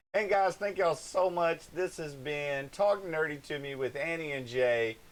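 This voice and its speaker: On a very clean recording with a silent background, a man with an American accent speaks in a normal speaking voice at a moderate pace, his fairly high pitch showing ordinary variation. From Hayward, California. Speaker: live streamer, co-host. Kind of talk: casual chat. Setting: live stream.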